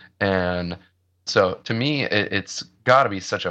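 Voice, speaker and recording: A man with an American accent speaks at a fairly low pitch against a quiet background. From US Midwest. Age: 30s. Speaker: metalcore band vocalist. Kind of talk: casual interview chat. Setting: video call.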